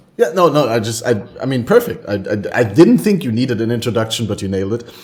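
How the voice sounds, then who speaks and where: Amid noticeable background noise, a man with a German accent and a medium pitch talks fairly quickly with lively intonation. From Germany. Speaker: podcast host. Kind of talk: casual chat.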